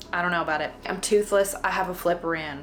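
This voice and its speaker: With a Southern US accent, a woman speaks in fairly even intonation over noticeable background noise. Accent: country Southern US. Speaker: home baker demonstrating a cake. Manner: casual, chatty, self-conscious.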